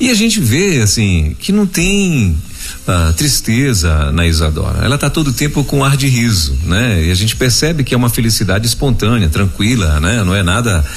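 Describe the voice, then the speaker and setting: A man's voice with very wide pitch swings and very even loudness, plus noticeable background noise and audible room echo. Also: medium pitch for a man, moderate pace. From Pará, Brazil. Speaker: radio host. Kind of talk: interview. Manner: animated.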